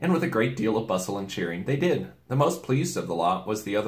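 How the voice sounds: Lively intonation in a natural reading voice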